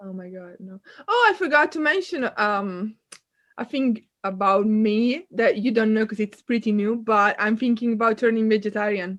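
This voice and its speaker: The speaker has an Italian accent and talks at a moderate pace. Pitch varies in an ordinary way, while loudness swings widely. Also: woman, fairly high pitch for a woman. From northern Italy, near Milan. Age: 20s. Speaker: student and kayak instructor. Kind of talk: casual chat.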